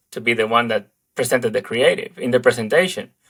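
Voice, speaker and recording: Here a man speaks with a Spanish accent. His medium-pitched voice has a bright, sharp tone. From Dominican Republic. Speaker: advertising creative director. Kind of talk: interview conversation. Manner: halting, many fillers.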